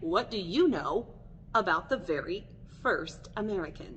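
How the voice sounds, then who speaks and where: A woman talks in an animated tone at a fairly slow pace. There is noticeable background noise. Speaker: elementary school teacher. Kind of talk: recorded lesson for young students.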